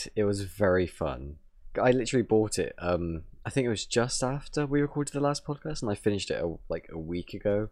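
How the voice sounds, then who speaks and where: A man with an English accent and fairly low pitch speaks at a fairly quick pace with very wide pitch swings in a very clean recording with a silent background. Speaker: gaming podcast co-host. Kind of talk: casual chat.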